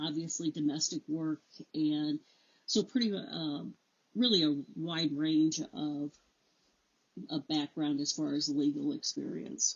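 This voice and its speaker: This speaker has an American accent. The pace is very slow. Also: woman. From Illinois. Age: 60s. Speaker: judicial candidate, attorney. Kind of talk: interview.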